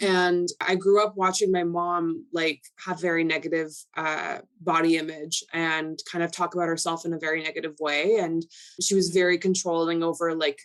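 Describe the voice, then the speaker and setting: With a Canadian accent, a woman speaks in a fairly low pitch with monotone, flat intonation. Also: moderate pace. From Canada, Toronto. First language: Polish. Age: 20s. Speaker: model and lifestyle influencer. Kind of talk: podcast interview.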